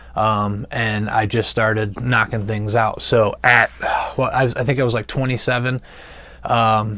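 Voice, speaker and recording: Speaking at a moderate pace with a US Midwestern accent, a man keeps a medium pitch and monotone, flat intonation. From Ohio, US Midwest. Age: 30s. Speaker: recovering addict sharing his story. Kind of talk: personal testimony vlog. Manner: hesitant, many fillers.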